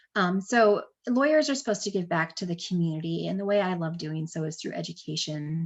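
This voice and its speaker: Against a quiet background, a woman with fairly low pitch and a somewhat breathy voice speaks with lively intonation. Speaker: estate planning attorney. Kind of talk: webinar presentation with Q&A. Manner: fast; many filler words (um, uh).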